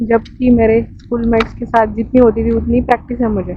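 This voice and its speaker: The speaker is a woman with a high pitch. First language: Marathi (speaking Hindi). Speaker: travel vlogger. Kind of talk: casual vlog.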